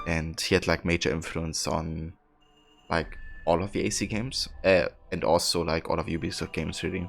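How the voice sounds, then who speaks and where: A man with a German accent speaks in a very deep, low voice with fairly even intonation, and music plays in the background. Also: moderate pace. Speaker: video game streamer. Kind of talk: casual live-stream chat with viewers. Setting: live stream. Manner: hesitant, many fillers.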